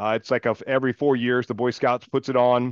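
In a Southern US accent, a man speaks with a dry, close sound and no echo. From US South, Mississippi (near Meridian). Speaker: former Navy SEAL, recovery business founder. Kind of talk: interview conversation.

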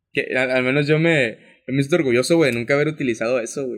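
A plain, everyday voice, fairly quick, with fairly even intonation, on a very clean recording with a silent background. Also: man. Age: 20s. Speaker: podcast co-host. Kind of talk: casual chat.

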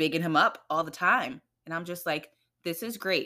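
In a very clean recording with a silent background, a woman with a New York accent talks in a fairly low voice with ordinary pitch variation. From New York, the Bronx, Trinidadian family. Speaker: guest, mother. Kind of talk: casual chat.

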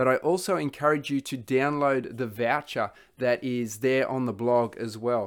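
A man speaks with an Australian accent at a medium pitch. His pace is moderate and his pitch varies in an ordinary way. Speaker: podcast host. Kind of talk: interview.

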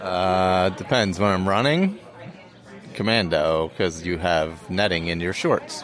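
Noticeable background noise sits behind a man speaking at a fairly slow pace. His voice is very deep and low, with ordinary pitch variation. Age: 50s. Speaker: podcast co-host, runner. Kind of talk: casual chat. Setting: birthday party at a brewery.

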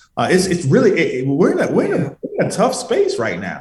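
A man keeps a moderate pace while noticeable background noise carries on. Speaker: trucking company founder. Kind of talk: radio interview, conversational business talk. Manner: earnest, fluent, motivational.

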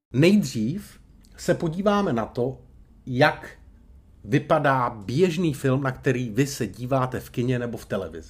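A man speaks at a fairly slow pace with vocal fry and lively intonation. His loudness swings widely. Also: medium pitch for a man. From Czechia, Brno (Moravia). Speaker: public speaking coach. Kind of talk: podcast tutorial monologue. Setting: hotel room.

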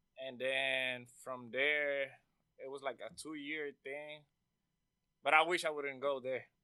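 Speaking very slowly in a Spanish accent, the voice stays monotone and flat, with big swings in loudness and long, frequent pauses. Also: man, fairly high pitch for a man. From Puerto Rico. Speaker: audio engineer. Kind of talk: casual interview.

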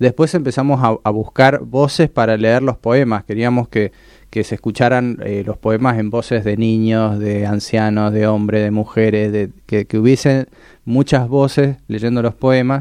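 Over a quiet background, a man with a Mendoza accent talks at a fairly slow pace and a medium pitch. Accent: Mendoza sing-song accent, still noticeable. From Mendoza, Argentina. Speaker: podcast creator, psychology student. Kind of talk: radio interview. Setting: radio studio. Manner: halting.

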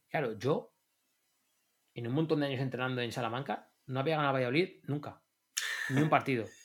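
Speaking at a fairly quick pace with long, frequent pauses, a man holds a medium pitch and fairly even intonation. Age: 40s. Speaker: football coach. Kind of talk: casual chat.

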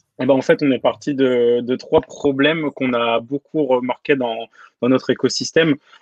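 A man with a plain, everyday voice, fairly even intonation, and a moderate pace. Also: medium pitch for a man. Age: 20s. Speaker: design system lead. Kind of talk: interview.

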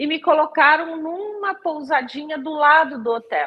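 A woman's high voice at a fairly slow pace. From Brazil, moved around (Rio de Janeiro, Paraná, Mato Grosso). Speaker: archaeologist and university researcher. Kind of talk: interview conversation.

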